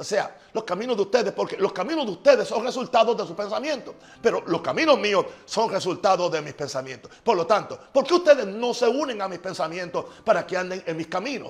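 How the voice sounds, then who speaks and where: A high-pitched man at a fairly quick pace, animated in tone, with lively intonation. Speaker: pastor. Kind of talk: sermon. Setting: live stream from home. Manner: fast.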